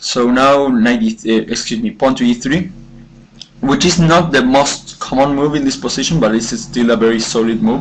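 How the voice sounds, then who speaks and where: Amid noticeable background noise, a man speaks at a moderate pace and a fairly high pitch with lively intonation. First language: not English. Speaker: chess commentator. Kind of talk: game analysis commentary. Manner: halting, many fillers and self-corrections.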